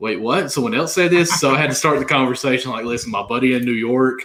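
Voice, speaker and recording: This man speaks at a very fast pace. His pitch sits in the medium range. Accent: Southern. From Kentucky. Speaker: fantasy sports podcast co-host. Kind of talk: casual chat.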